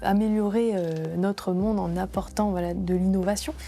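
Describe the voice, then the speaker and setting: This is a plain, everyday voice. A woman speaks at medium pitch with ordinary pitch variation. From France, Grenoble area. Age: 30s. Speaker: entrepreneur. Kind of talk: interview testimony.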